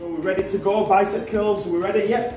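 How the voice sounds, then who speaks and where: Someone talks at a fairly quick pace with audible room echo. Clear music is in the background. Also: man. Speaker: personal trainer in sketch. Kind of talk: scripted comedy dialogue. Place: gym. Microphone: camera far.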